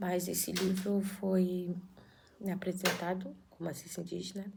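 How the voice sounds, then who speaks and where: Soft-spoken and somewhat breathy, a woman talks at a fairly slow pace in a medium pitch with monotone, flat intonation, and audible room echo. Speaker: YouTuber reading a spiritual book aloud. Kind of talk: casual intro before reading aloud. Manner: halting.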